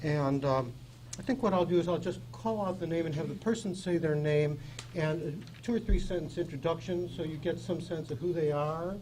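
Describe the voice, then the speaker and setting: Audible room echo surrounds a man speaking at a high pitch with ordinary pitch variation. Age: 70s. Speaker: advisory board chairman. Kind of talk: public meeting chairing. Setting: public board meeting room.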